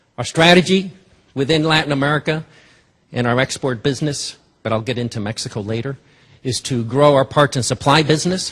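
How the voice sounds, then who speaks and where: A man's fairly high-pitched, fairly quick speech with ordinary pitch variation and long, frequent pauses. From Cuba, raised in New Jersey. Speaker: business executive. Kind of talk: investor presentation.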